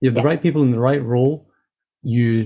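A man's somewhat breathy voice at medium pitch, dark and mellow in tone, with fairly even intonation and a fairly quick pace. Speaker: podcast host. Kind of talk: interview.

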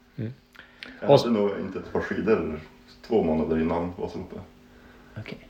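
Over noticeable background noise, a man with a very deep, low pitch talks very fast with ordinary pitch variation and long, frequent pauses. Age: 30s. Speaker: amateur long-distance cross-country skier. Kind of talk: casual interview.

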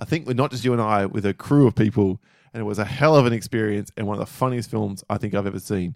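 A man with an Australian accent talks at a very fast pace in a fairly low pitch, the sound dry and close with no echo. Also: ordinary pitch variation. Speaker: podcast co-host. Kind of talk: casual chat.

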